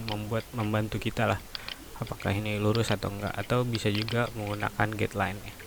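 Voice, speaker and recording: Noticeable background noise sits behind a man who talks quietly in a fairly low, monotone, flat voice. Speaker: teacher. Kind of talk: tutorial. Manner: many fillers (eh, ya). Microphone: poor microphone.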